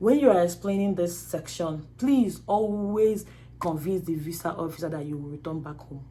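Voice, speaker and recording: In a room with audible echo, a woman speaks at a moderate pace with lively intonation. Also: fairly low pitch for a woman. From Nigeria, Anambra State. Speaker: YouTuber and student. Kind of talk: tutorial. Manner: animated.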